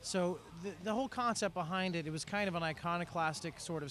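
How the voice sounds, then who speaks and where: With an American accent, this speaker keeps a moderate pace and shows ordinary pitch variation. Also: man. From Florida, Hialeah. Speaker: rock band frontman. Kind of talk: casual interview.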